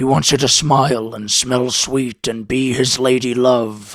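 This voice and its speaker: A raspy, put-on character voice with fairly even intonation and a fairly slow pace. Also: man, medium pitch for a man. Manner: gruff, harsh.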